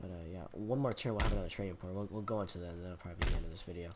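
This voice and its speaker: The speaker has an American accent and talks at a very fast pace. Room echo is audible. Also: man. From Michigan, US. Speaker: gaming YouTuber. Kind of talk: let's play commentary. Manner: halting, many fillers.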